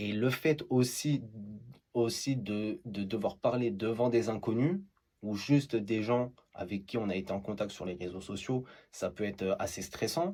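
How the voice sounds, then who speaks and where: A man talks at a very slow pace with long, frequent pauses, his medium pitch showing ordinary variation. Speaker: TikTok creator. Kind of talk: interview answer.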